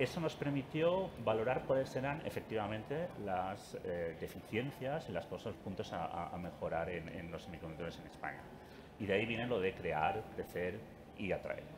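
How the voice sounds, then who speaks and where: A man's fairly low voice with very wide pitch swings over noticeable background noise. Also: moderate pace. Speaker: industry association representative. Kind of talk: panel discussion. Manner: soft-spoken; halting.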